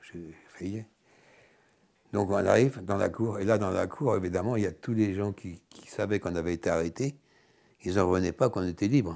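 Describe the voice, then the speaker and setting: A man's fairly low, dark, mellow voice on a very clean recording with a silent background. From Paris, France. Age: 80s+. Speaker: Holocaust survivor. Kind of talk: interview answer.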